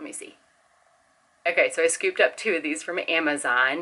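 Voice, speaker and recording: Speaking quietly, a woman keeps a moderate pace. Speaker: homeschooling parent vlogger. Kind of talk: casual haul video. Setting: home. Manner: animated.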